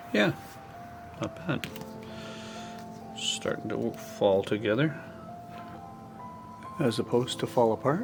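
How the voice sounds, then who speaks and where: With music in the background, a soft-spoken man talks at a fairly slow pace, leaving long, frequent pauses. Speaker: artist. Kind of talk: real-time drawing commentary.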